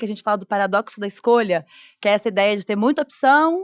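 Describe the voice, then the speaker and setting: A woman speaks at a very fast pace with lively intonation. The recording is very clean, with a silent background and a dry, close sound with no echo. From Brazil, Belo Horizonte. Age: 30s. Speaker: journalist and content creator. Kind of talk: podcast conversation. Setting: studio at a festival.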